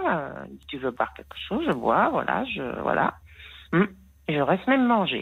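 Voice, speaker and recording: With vocal fry, a woman swings very widely in pitch and greatly in loudness, leaving long, frequent pauses. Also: fairly low pitch for a woman. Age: 60s. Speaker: caller. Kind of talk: casual chat. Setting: phone call. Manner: determined.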